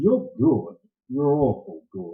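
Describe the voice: Putting on a character voice, a man speaks slowly with very wide pitch swings and a husky, rough edge. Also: medium pitch for a man.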